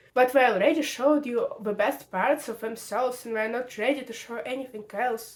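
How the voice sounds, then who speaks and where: A woman talks in a high voice with a Russian accent. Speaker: video essayist. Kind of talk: video essay.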